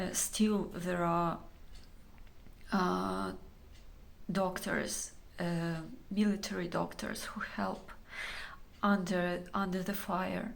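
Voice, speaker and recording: A woman with a Ukrainian accent talks at a very slow pace, with long, frequent pauses. Room echo is audible. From Ukraine. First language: Ukrainian or Russian. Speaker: Ukrainian civilian. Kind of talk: testimony. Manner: halting, many fillers.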